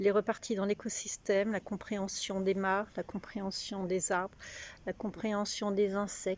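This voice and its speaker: A woman's ordinary speaking voice, at a medium pitch and a fairly slow pace. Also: dry, close sound with no echo. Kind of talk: casual talk to camera.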